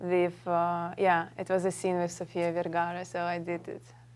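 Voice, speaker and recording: A woman speaks at a very slow pace with a Russian accent and a fairly low pitch. The recording is very clean, with a silent background. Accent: Russian accent, clear. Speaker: model and actress. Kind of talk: talk show interview. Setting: studio with audience.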